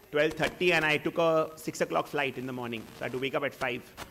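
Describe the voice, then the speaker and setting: Over noticeable background noise, the speaker talks at a very fast pace with fairly even intonation. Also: man. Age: 30s. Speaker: entrepreneur. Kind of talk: Q&A talk. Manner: halting.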